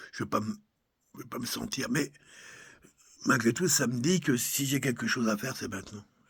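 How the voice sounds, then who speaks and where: A man at medium pitch and a moderate pace, with ordinary pitch variation and long, frequent pauses. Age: 60s. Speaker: personal video blogger. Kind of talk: personal reflective monologue. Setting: countryside home. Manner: halting.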